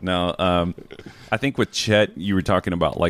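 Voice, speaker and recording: A man with an American accent speaks in a very deep, low voice, the sound dry and close with no echo. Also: very clean recording, silent background. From rural US South. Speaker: basketball analyst. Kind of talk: casual chat.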